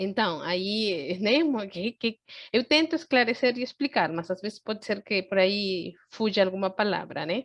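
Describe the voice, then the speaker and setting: Against a quiet background, a woman speaks at medium pitch with lively intonation, the sound dry and close with no echo. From Peru, Andean city. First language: Spanish (speaking Portuguese). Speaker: psychotherapist, lecturer on Andean culture. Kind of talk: online lecture. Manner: halting, with fillers and restarts.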